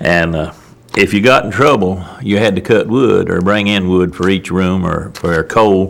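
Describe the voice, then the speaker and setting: The speech moves at a moderate pace with ordinary pitch variation against noticeable background noise. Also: man, very deep, low pitch for a man. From US South, Wilkes County, North Carolina. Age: 70s. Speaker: elderly local resident, oral history interviewee. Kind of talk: oral history interview. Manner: halting, many fillers.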